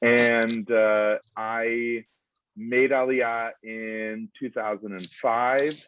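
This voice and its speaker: An American-accented man talks at a very slow pace. His medium-pitched voice stays monotone, with flat intonation. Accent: American English, native speaker. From US Northeast, Providence, Rhode Island. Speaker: foreign policy institute director. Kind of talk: lecture. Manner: halting, many fillers.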